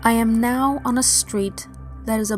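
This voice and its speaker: Over music in the background, a woman speaks at a fairly slow pace with a medium pitch. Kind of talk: dream journal reading; ASMR-style dream story narration.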